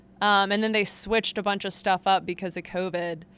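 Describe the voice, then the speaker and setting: A loud woman with a bright, sharp tone at a fairly quick pace. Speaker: sports beat reporter and podcast host. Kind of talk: solo sports analysis podcast. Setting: back room at an arena, behind a curtain. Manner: loud, projecting; casual, filler-heavy.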